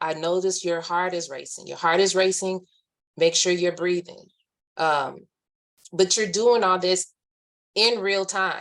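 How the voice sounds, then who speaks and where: Calm speech from a woman of medium pitch, fairly slow, with fairly even intonation and long, frequent pauses. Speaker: army veteran, webinar speaker. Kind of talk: webinar presentation. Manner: halting.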